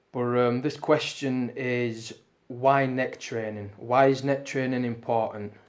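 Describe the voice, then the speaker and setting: Speaking very slowly with a British accent, a man holds a medium pitch and a monotone, flat intonation. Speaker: strength training youtuber. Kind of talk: Q&A video monologue. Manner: casual, many fillers.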